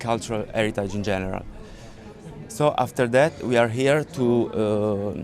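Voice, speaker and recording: Medium-pitched male voice with ordinary pitch variation, a moderate pace and music in the background. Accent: Italian. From Italy, Sicily. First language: Italian. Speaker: crash victim's family member. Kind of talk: public statement. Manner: halting.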